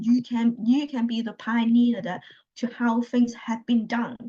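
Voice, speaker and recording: With a Chinese accent, a woman speaks at a high pitch in a dark, mellow tone. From China. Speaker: healthcare analytics consultant. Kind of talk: interview. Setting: video call. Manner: halting, with many repetitions.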